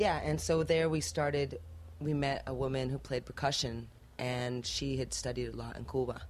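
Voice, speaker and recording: A woman speaks at a moderate pace in a very deep, low voice with vocal fry. Her pitch swings very widely. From Spain. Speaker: musician, band singer. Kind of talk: interview. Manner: casual, with many fillers.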